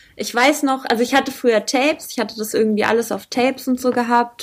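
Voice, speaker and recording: Fairly quick female speech, its intonation fairly even. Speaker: rapper. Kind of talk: casual interview.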